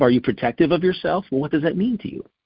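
Male speech marked by vocal fry and very wide swings in pitch. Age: 60s. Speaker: wellness guest. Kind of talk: casual chat.

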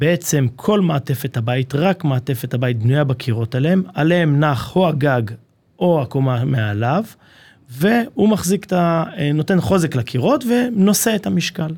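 A man speaks at a moderate pace with a somewhat breathy, fairly high voice. His pitch swings very widely while his loudness stays very even. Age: 30s. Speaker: construction company marketing manager. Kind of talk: casual interview. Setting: studio.

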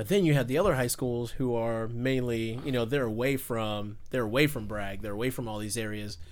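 A man with an American accent speaks at a fairly quick pace with hardly any pauses, his pitch medium and its variation ordinary. Audible room echo surrounds the voice. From US South, Fayetteville, North Carolina. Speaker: podcast guest, car enthusiast. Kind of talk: casual chat. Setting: party in the background.

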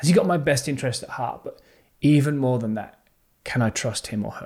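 A plain, everyday voice at a moderate pace with ordinary pitch variation, recorded very cleanly against a silent background. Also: man. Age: 40s. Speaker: leadership podcast host. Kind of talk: motivational monologue.

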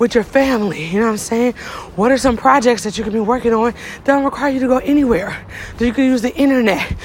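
Someone speaks at a very fast pace with ordinary pitch variation over noticeable background noise. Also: woman, high pitch for a woman. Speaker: podcast host. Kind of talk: motivational monologue. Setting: outdoors, walking up a hill. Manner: casual.

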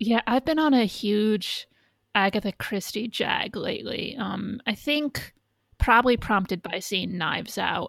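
In an American accent, a woman with a fairly high pitch and ordinary pitch variation speaks at a fairly slow pace, in an unremarkable speaking voice. The sound is dry and close, with no echo. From United States. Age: 30s. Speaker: podcaster. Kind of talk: casual chat.

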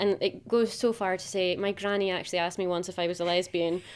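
In a very clean recording with a silent background, a woman speaks at a medium pitch and moderate pace with flat, monotone intonation. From northeast Scotland (Macduff, Aberdeenshire). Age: 30s. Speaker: podcast guest. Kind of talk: casual chat.

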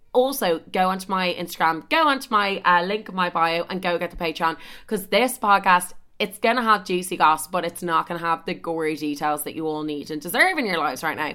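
A woman with an Irish accent, fairly low in pitch, at a fairly quick pace with ordinary pitch variation. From Ireland. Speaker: podcaster. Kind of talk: casual chat. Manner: animated.

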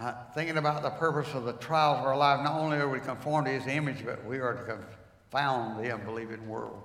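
A man with a North Carolina accent talks at a very fast pace with hardly any pauses. His medium-pitched voice keeps fairly even intonation over noticeable background noise. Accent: Southern US (North Carolina). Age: 80s+. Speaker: retired pastor. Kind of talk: sermon. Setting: church.

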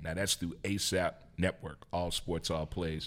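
The audio is very clean against a silent background. A man talks at a moderate pace. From US Midwest (St. Louis, Missouri). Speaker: sports radio host and podcaster. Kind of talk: casual interview chat. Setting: studio. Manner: animated.

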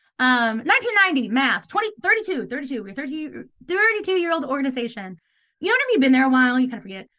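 A woman's raised, projected voice, high-pitched and bright and sharp in tone, at a fairly quick pace with very wide pitch swings and big swings in loudness. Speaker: theater director and playwright. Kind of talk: casual interview chat. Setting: video call.

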